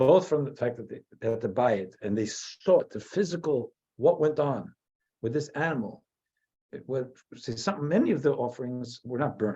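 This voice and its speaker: With an American accent, a man speaks at a moderate pace in a medium-pitched, dark, mellow, somewhat breathy voice with lively intonation. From US, New Jersey. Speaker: rabbi. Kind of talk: lecture. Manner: halting.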